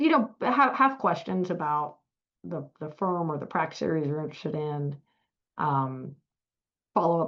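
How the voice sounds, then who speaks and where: A woman speaks with a strong Southern US accent. Her pace is moderate. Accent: thick Southern US. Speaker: law firm partner. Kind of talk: webinar Q&A. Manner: halting, many fillers.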